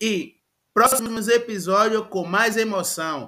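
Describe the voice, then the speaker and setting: In a bright, sharp tone and a high pitch, a man speaks at a very slow pace. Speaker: podcast host. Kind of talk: casual chat.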